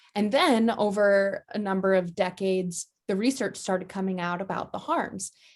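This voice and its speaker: A woman with an unremarkable speaking voice talks at a moderate pace in an American accent, her medium pitch carried on fairly even intonation. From US. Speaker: advocacy organization director. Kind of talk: interview.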